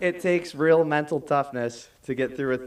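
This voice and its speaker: This is a man with a plain, everyday voice and an American accent. He talks at a moderate pace with ordinary pitch variation. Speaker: graduating student speaker. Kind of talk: commencement speech. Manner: formal.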